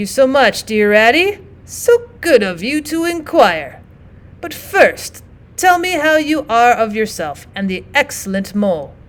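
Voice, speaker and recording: A woman speaks in a put-on character voice, pitched high, with very wide swings in pitch and a fairly slow pace. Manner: falsely polite, playing ill.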